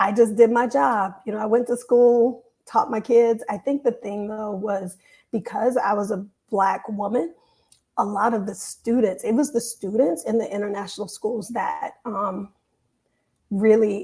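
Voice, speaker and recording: Somewhat breathy and dark, mellow in tone, a woman speaks at a fairly high pitch and a fairly slow pace. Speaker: teacher. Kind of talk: casual chat. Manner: animated.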